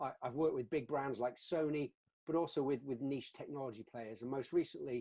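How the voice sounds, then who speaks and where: Speaking at a fairly quick pace, a man with a fairly high pitch and a dark, mellow tone keeps his intonation fairly even. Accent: British. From UK. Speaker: customer success executive, webinar co-host. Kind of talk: webinar discussion. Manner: halting, many repeated words.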